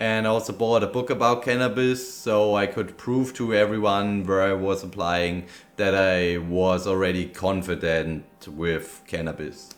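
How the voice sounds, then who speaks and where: Over music in the background and audible room echo, a man with a fairly low voice speaks at a fairly slow pace with hardly any pauses and ordinary pitch variation. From Bavaria, Germany. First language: German. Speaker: vlogger, cannabis dispensary worker. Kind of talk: casual vlog recap. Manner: loud.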